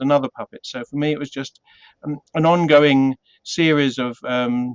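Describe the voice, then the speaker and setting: A man with a British accent and a fairly high pitch is heard in a dry, close sound with no echo. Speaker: puppeteer. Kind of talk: interview. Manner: hesitant, many fillers.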